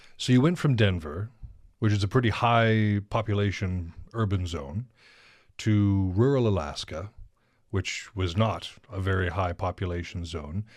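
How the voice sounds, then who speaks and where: In a very clean recording with a silent background, a man with an unremarkable speaking voice talks at a fairly slow pace and a fairly low pitch, with ordinary pitch variation. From northern Montana. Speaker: podcast host. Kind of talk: casual interview.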